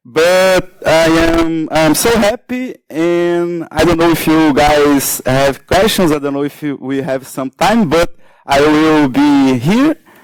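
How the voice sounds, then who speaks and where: With a non-native accent, a man speaks at a very slow pace in a fairly high pitch with ordinary pitch variation. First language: Portuguese. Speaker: security researcher. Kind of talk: conference talk. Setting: stage with audience. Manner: halting, many fillers.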